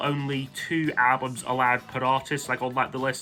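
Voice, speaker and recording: A man with a Scottish accent at a medium pitch, talking at a fairly quick pace over music in the background. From Scotland. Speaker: music YouTuber. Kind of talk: casual monologue countdown. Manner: hesitant, many fillers.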